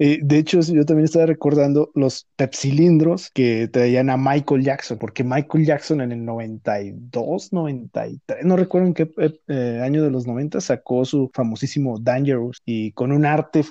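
A man's fairly high-pitched voice with a dark, mellow tone, ordinary pitch variation, a fairly slow pace and a quiet background. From Mexico. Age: 30s. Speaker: podcast guest. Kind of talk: casual chat.

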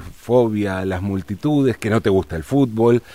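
This man's pitch is fairly low. His pitch varies in an ordinary way. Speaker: radio host. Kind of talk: radio interview.

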